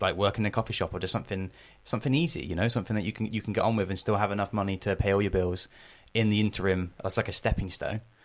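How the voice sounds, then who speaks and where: On a very clean recording with a silent background, a man talks at a very fast pace, fairly low in pitch with fairly even intonation. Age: 20s. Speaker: podcast co-host. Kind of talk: casual chat.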